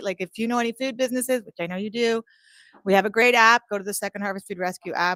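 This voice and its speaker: A woman speaks with ordinary pitch variation, the sound dry and close with no echo. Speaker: food charity representative. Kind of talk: short speech. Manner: loud.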